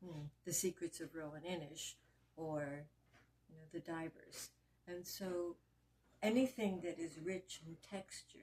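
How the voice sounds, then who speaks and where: A woman's somewhat breathy, dark, mellow voice at a fairly low pitch, with ordinary pitch variation, big swings in loudness, and long, frequent pauses. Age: 70s. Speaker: clinical social worker. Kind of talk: interview answer.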